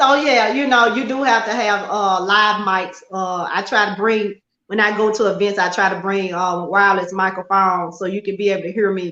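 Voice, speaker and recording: A woman talks at a moderate pace with hardly any pauses. Her medium pitch follows fairly even intonation. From Memphis, Tennessee (US South). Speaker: model and talk show host. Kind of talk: interview. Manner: loud.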